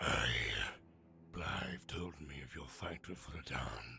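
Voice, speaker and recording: Putting on a character voice, a man speaks at a very slow pace with a raspy, very deep, low pitch. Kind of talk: video game NPC dialogue. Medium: voice reel.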